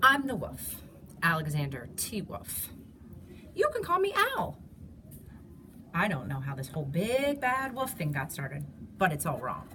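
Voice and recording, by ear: Putting on a character voice, a woman speaks at a fairly slow pace in a fairly low pitch with a bright, sharp tone, very wide pitch swings, and long, frequent pauses over faint background noise.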